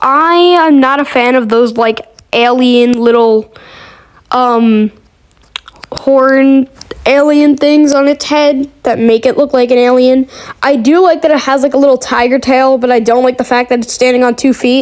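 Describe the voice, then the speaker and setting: Over noticeable background noise, a woman with a high voice talks at a fairly slow pace and fairly even intonation. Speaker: gaming YouTuber. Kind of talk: casual tier-list commentary. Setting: bathroom of a karate school. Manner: soft-spoken; hesitant, many fillers.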